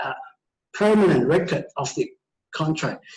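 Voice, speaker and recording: A man talks at a fairly slow pace with fairly even intonation. There is audible echo from the room. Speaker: teacher. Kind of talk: lecture. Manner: halting.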